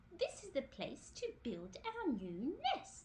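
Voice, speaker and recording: A woman uses a put-on character voice at a fairly slow pace. Clear background noise sits behind her. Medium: read story.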